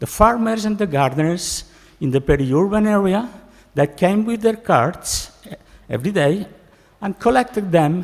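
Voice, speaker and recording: A man speaks with lively intonation. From Spain, Barcelona. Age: 60s. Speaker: professor. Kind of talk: keynote speech. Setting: conference stage with audience. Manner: halting.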